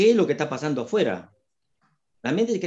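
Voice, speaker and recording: There's vocal fry in this man's dark, mellow tone, and his pitch swings very widely. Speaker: retired psychiatrist and holistic therapist. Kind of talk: interview explaining health topics.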